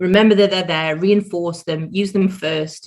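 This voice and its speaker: At a moderate pace, a woman with a British accent talks in a fairly low pitch. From Britain. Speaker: change management consultant. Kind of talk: podcast interview. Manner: animated.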